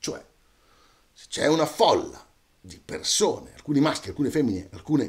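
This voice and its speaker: A man speaks fairly slowly over a quiet background. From Italy, Romagna (Cesena); Italy. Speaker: storyteller. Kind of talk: casual monologue to camera. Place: home room.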